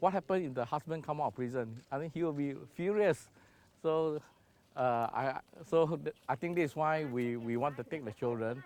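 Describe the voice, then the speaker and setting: A man talks with a Singaporean accent. His pitch is fairly high. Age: 60s. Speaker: charity founder. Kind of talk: documentary interview. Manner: hesitant.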